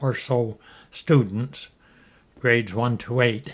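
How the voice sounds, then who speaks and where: A man speaks with a Canadian accent. His pace is very slow. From Ontario, Canada. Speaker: retired pharmacist. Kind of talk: oral history interview. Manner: hesitant, many fillers.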